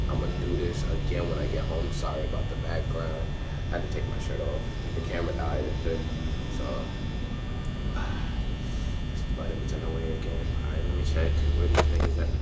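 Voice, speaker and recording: A man talks rather briskly while music plays behind him. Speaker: gamer. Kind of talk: casual gaming commentary. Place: home room.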